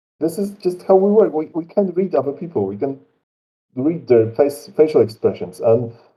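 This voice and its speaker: This voice has a dark, mellow tone and very wide pitch swings, in a Polish accent. The pace is moderate. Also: man. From Poland. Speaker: tabletop game designer. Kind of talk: interview. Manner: halting.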